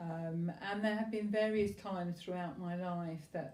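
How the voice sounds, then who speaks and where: In a room with audible echo, a woman with a fairly low pitch and a dark, mellow, somewhat breathy tone speaks at a fairly slow pace with fairly even intonation. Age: 60s. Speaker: patient. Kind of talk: interview testimony.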